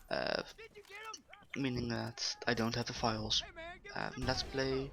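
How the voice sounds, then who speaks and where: Noticeable background noise can be heard. The speech moves at a moderate pace. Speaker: gaming YouTuber. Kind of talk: gameplay commentary. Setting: bedroom at home.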